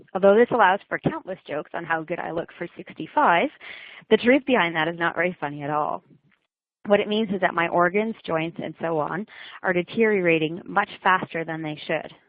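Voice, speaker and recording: Talking at a fairly quick pace, a woman has a plain, everyday voice pitched fairly low. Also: ordinary pitch variation. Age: 30s. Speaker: childhood cancer survivor. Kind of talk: webcast talk.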